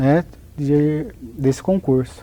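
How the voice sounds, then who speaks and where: A man speaks in a dark, mellow tone with a Paraná accent. His pitch varies in an ordinary way. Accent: southern Brazilian (Paraná), noticeable. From Paraná, southern Brazil. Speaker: notary registrar, lawyer. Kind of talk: interview.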